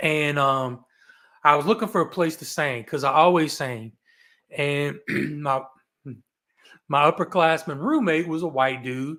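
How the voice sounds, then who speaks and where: Fairly slow, with long, frequent pauses, a speaker with a Southern US accent uses a bright, sharp, animated tone and ordinary pitch variation in a very clean recording with a silent background. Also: man, fairly high pitch for a man. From US South (Roanoke, Virginia, Appalachia; then Tampa). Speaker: real estate investor, podcast guest. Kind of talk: casual interview storytelling. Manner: animated, with false starts.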